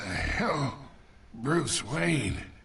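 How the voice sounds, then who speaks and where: A man's raspy, put-on character voice at medium pitch, with very wide pitch swings and audible echo. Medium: video game. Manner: taunting, manipulative.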